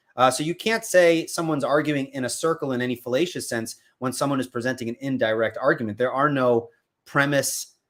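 A man with an American accent and a plain, everyday voice, medium in pitch, fairly quick in pace, with ordinary pitch variation. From US Northeast, Long Island, New York. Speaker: apologetics YouTuber. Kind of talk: casual chat. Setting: video call.

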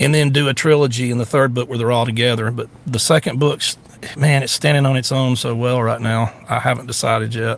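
A man at a medium pitch, fairly quick pace and fairly even intonation. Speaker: podcast host, social media personality. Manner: casual, folksy.

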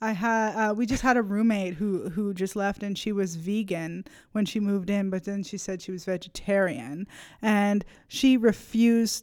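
Recorded very cleanly against a silent background, a woman with a plain, everyday voice speaks at medium pitch and a moderate pace, her intonation fairly even. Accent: Canadian. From Nova Scotia, Canada. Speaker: college student and comedian. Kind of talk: casual chat.

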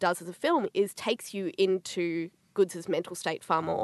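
A woman speaks with an Australian accent against a quiet background. The sound is dry and close, with no echo. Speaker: film writer and academic co-host. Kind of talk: casual panel discussion. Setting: studio.

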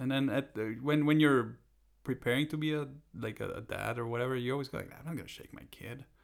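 Here is a man with an unremarkable speaking voice and a medium pitch. He moves at a fairly quick pace with fairly even intonation. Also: big swings in loudness. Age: 30s. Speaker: comedian. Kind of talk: casual chat.

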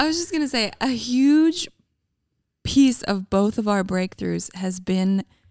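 The speech has lively intonation and a fairly slow pace. The recording is very clean with a silent background, and the sound is dry and close with no echo. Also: woman, long, frequent pauses. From Canada, Calgary, Alberta. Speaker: podcast co-host. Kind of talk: casual chat.

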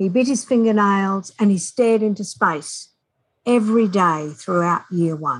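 With an Australian accent and lively intonation, a woman talks on a very clean recording with a silent background. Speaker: author and reading specialist. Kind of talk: interview.

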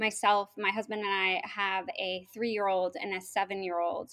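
A woman with an American accent speaks at a moderate pace in a medium pitch, with fairly even intonation. She has a normal speaking voice, on a very clean recording with a silent background. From Oklahoma, US (Norman). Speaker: state tourism official. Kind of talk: interview.

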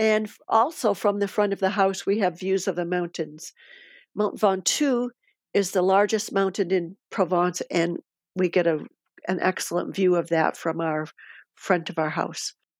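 A woman's medium-pitched voice with a Midwestern US accent, ordinary pitch variation and a moderate pace, dry and close with no echo on a very clean recording with a silent background. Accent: US Midwest. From Michigan, US. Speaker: retiree living abroad. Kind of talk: podcast interview.

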